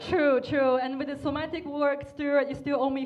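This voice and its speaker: A woman with a non-native accent and a high pitch, over noticeable background noise. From China. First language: not English. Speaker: comedian. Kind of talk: roast battle stand-up. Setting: stage with audience. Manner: slow.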